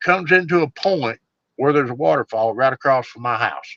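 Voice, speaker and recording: This man's pitch sits fairly high, and his tone is bright and sharp. He talks with a Southern US accent and lively intonation in a dry, close sound with no echo. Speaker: bigfoot researcher. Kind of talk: storytelling in casual interview. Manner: casual, folksy.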